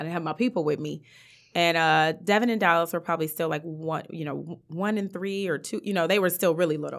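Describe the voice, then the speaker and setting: On a very clean recording with a silent background, a woman with an ordinary speaking voice talks at a fairly quick pace, her pitch fairly low with ordinary variation. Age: 30s. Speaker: basketball coach's wife and mother. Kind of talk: casual interview chat.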